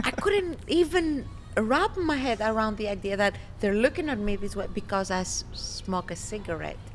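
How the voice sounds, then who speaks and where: A woman speaks at a moderate pace in a fairly high pitch with very wide pitch swings. Noticeable background noise accompanies her. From Greece. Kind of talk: interview answer.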